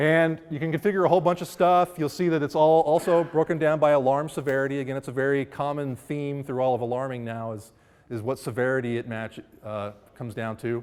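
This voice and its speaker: This man's pitch sits fairly high, with ordinary pitch variation. He talks at a fairly quick pace. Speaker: software seminar presenter. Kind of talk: technical presentation. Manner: fast.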